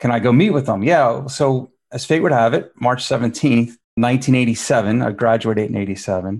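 An unremarkable speaking voice with an American accent. It moves at a fairly slow pace with ordinary pitch variation. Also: man, medium pitch for a man, hardly any pauses. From Philadelphia, US. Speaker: stock exchange executive. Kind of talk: interview.

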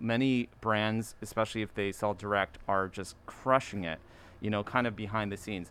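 A man with a plain, everyday voice and an American accent talks at a moderate pace, his pitch fairly low and his intonation fairly even. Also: very clean recording, silent background. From US, Maryland (Baltimore area). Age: 40s. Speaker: streetwear designer and brand founder. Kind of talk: casual chat.

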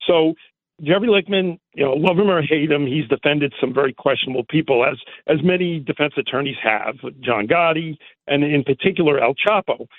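In a plain, everyday voice, a man speaks at a fairly high pitch with ordinary pitch variation and very even loudness. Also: fairly quick pace. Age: 60s. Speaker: caller, event space owner. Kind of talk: phone-in call.

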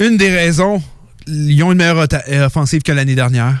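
A man speaks with a fairly high pitch. His pitch variation is ordinary. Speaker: radio sports show host. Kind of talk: hockey talk radio panel. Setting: radio studio.

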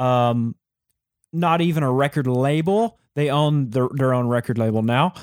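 A plain, everyday voice at a fairly slow pace, with ordinary pitch variation and a dry, close sound with no echo. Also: man, medium pitch for a man, very even loudness, very clean recording, silent background. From Texas. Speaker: music company co-founder, fiddle player. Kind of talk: interview conversation.

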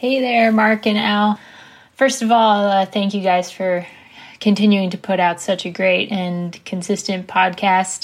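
Speaking with an American accent, a woman uses an unremarkable speaking voice at medium pitch, a fairly slow pace and fairly even intonation. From Washington DC area. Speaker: listener sending a voice memo. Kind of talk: recorded voice memo.

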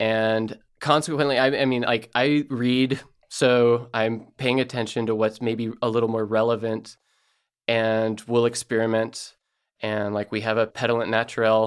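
A man's medium-pitched voice comes through with monotone, flat intonation. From Elkton, Oregon. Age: 30s. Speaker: winemaker. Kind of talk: radio interview.

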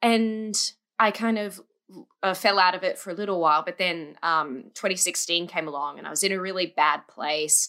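At a fairly slow pace, a woman of medium pitch speaks in a bright, sharp tone on a very clean recording with a silent background. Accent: Australian. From Australia. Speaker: musical theatre fan. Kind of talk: casual chat.

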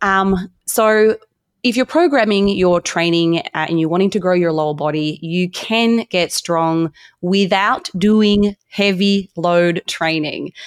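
Over a quiet background, a woman with a medium-pitched voice speaks at a very slow pace, her loudness very even and her pitch varying in an ordinary way, in a dry, close sound with no echo. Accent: Australian. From Australia. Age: 30s. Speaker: dietitian and fitness coach. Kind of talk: interview.

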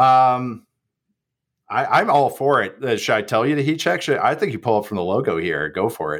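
On a very clean recording with a silent background, a man at a medium pitch talks at a moderate pace with very wide pitch swings and vocal fry. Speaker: football analyst. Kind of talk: casual chat.

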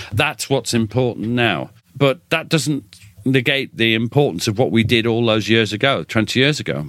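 A man with a British accent talks at a moderate pace and a medium pitch, with vocal fry, very even loudness and ordinary pitch variation. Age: 60s. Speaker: military historian and author. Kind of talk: interview conversation.

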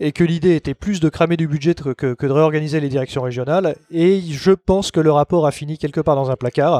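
Dark and mellow in tone, a man's voice sits at a fairly high pitch with fairly even intonation. The sound is dry and close with no echo, and the background is quiet. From Paris, France. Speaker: hypnotherapist. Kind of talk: interview conversation.

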